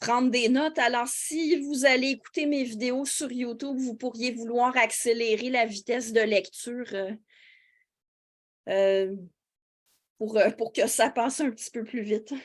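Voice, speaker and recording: At a fairly slow pace with long, frequent pauses, a woman speaks in a high pitch with fairly even intonation. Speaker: philosophy teacher and YouTuber. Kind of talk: interview answer in a webinar. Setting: online webinar. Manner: hesitant, many fillers.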